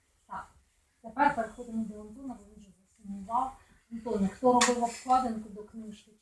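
A woman talks at a moderate pace in a fairly high pitch. Her intonation is monotone and flat, while her loudness swings widely. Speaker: writer moderating a book presentation. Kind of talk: moderated book event. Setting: bookstore event with live audience, no microphone. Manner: chatty.

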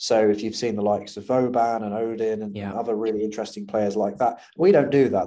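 A man with a British accent speaks in a fairly low, dark, mellow voice with fairly even intonation. The recording is very clean and the background silent. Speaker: startup founder. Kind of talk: casual interview. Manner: fast talker.

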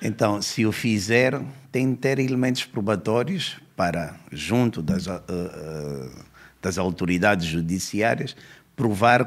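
This man speaks at a very slow pace, his fairly low voice carrying lively intonation. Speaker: police commissioner, law professor and author. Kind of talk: podcast interview.

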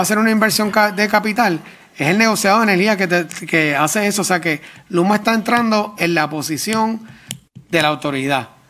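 Noticeable background noise sits behind a man talking. He moves at a fairly quick pace with ordinary pitch variation. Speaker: government official. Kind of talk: testimony at public hearing. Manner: halting.

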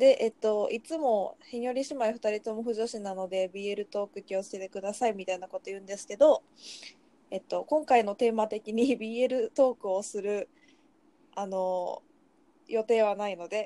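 A woman with a dark, mellow, relaxed tone and a fairly high pitch speaks at a moderate pace with ordinary pitch variation and big swings in loudness, in a dry, close sound with no echo. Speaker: podcast co-host. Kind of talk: casual chat. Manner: relaxed, laid-back.

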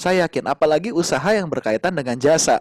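A man with a high-pitched voice speaks very fast. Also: dry, close sound with no echo. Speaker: doctor and podcast host. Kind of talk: casual interview.

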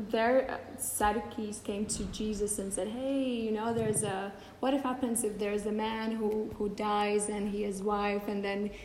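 A woman's fairly high pitch at a fairly slow pace, with monotone, flat intonation and audible room echo. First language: Latvian (speaking German). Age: 30s. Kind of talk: talk to a group with live interpretation.

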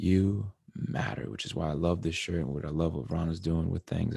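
In an American accent, a man talks at a fairly quick pace with a very deep, low pitch, lively intonation and vocal fry. His tone is dark and mellow, and the sound is dry and close with no echo. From Connecticut. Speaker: podcast host. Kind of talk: casual monologue. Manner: animated.

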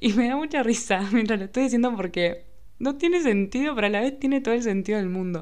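Her tone is dark and mellow, with ordinary pitch variation. This woman talks at a fairly quick pace. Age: 20s. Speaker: podcast host. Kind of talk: casual monologue.

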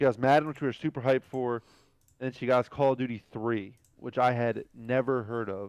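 An ordinary speaking voice from a man with medium pitch and a fairly quick pace, in dry, close sound with no echo. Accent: American. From US, New Jersey. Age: 20s. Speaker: esports coach. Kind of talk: casual chat.

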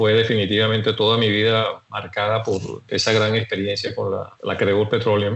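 Noticeable background noise runs under this recording. A man talks at a medium pitch and a moderate pace. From Venezuela. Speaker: retired oil industry executive. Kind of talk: life story interview.

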